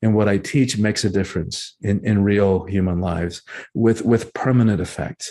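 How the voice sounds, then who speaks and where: This man has a dark, mellow tone. He speaks in a Spanish accent. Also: quiet background. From Cuba, raised in US South (Georgia) then Miami. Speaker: author and breathwork teacher. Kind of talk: interview conversation. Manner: halting, many repetitions.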